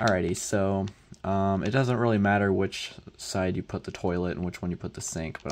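A soft-spoken man at a moderate pace. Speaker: Minecraft tutorial creator. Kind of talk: tutorial. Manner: soft-spoken, talking quietly; halting, many fillers.

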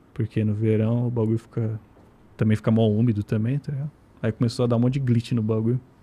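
Somewhat breathy, a man speaks at a very fast pace in a monotone with flat intonation. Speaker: guest living in Japan. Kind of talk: casual chat. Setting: studio. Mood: relaxed, casual slang. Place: studio. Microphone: studio mic.

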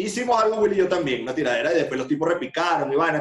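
The room echo is audible. A man is speaking. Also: quiet background. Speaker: guest. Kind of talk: interview answer. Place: home room. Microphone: video call.

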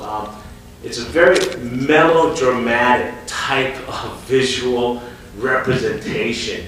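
Strong room echo and light background noise surround a man whose pitch varies in an ordinary way. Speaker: company president on a panel. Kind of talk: panel talk answer. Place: stage.

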